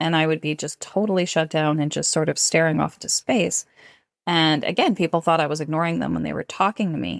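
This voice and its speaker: Vocal fry runs through speech at a fairly quick pace with ordinary pitch variation. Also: woman, dry, close sound with no echo, very clean recording, silent background. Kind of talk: interview conversation.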